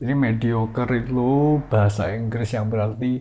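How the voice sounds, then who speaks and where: Talking very slowly, a man sounds somewhat breathy. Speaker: YouTuber. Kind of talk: casual vlog monologue. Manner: rambling, repetitive.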